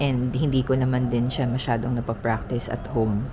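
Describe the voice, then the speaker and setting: A woman speaks quietly at a very deep, low pitch and a fairly slow pace. Her intonation is monotone and flat, with noticeable background noise behind her. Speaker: travel vlogger. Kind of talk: vlog monologue. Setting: indoors, early morning. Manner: halting.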